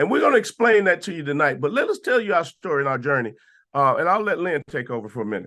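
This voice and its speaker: Over a quiet background, a man with a Southern US accent talks very fast in a high, bright, sharp voice with very wide pitch swings. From US South, Atlanta, Georgia. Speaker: sales presenter. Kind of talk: sales pitch. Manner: casual, relaxed.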